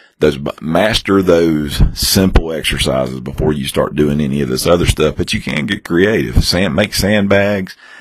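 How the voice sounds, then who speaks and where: A man with a very deep, low pitch speaks at a moderate pace with ordinary pitch variation and hardly any pauses over noticeable background noise. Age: 40s. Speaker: fitness podcast host. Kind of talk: casual chat. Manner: halting, many repeated words and fillers.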